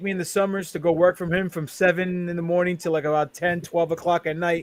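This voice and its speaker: Very fast and high-pitched, a man speaks with fairly even intonation. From New York, Queens. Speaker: professional wrestler. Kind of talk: casual chat.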